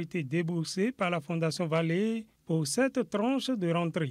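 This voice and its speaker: A man speaks in a high voice. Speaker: TV news reporter. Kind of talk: news report narration.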